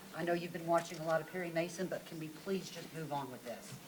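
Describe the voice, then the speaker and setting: Against noticeable background noise, a woman rattles along at a very fast pace in a fairly low, flat, monotone voice. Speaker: town council member. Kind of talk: heated debate. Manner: loud; formal.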